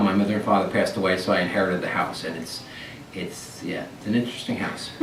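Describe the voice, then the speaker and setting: Over noticeable background noise and audible room echo, a man with an American accent talks very fast at a fairly low pitch with fairly even intonation. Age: 60s. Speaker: oral history interviewee, retiree. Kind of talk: oral history interview. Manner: halting with repetitions.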